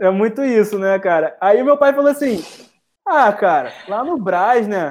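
A man's high-pitched voice, fairly slow in pace, with lively intonation. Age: 20s. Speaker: entrepreneur, founder of a leather goods brand. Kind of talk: casual interview chat.

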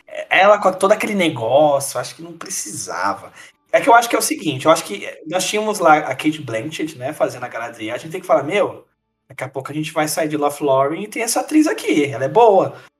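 With music in the background, a man at fairly high pitch races at a very fast pace, his pitch swinging very widely and his loudness shifting in big swings. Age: 20s. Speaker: podcast co-host. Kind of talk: casual chat.

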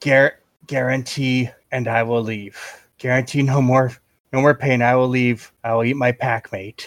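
A man uses a put-on character voice at medium pitch, growling in a monotone. His flat intonation holds at a moderate pace. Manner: snarling, pleading.

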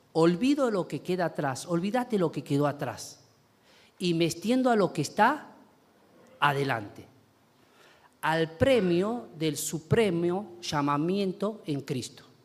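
Very slowly and with long, frequent pauses, a man speaks at a high pitch that swings very widely. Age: 40s. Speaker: pastor. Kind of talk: sermon.

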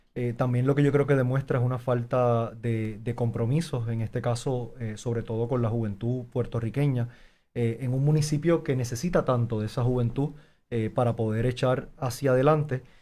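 In a very clean recording with a silent background, a man speaks at a moderate pace and medium pitch, his tone dark and mellow and his intonation fairly even. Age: young. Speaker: mayoral candidate. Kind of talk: interview.

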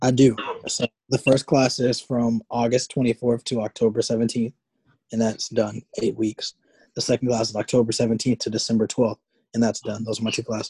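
A man with an American accent talks at a fairly quick pace and medium pitch, with a dark, mellow, somewhat breathy tone. His intonation stays flat and monotone, and the sound is dry and close with no echo. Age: 20s. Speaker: podcast co-host. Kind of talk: casual chat.

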